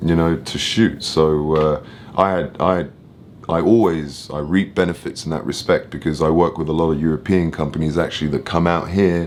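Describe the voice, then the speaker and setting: Someone with an English accent speaks at a moderate pace with fairly even intonation. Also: man, very deep, low pitch for a man. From London, England. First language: French. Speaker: film and photo producer. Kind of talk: interview. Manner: casual.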